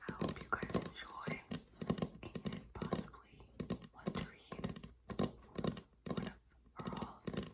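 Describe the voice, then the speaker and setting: Whispering at a fairly slow pace with long, frequent pauses, a woman is heard over noticeable background noise. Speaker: ASMR creator. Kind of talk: casual talk to camera. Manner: whispered.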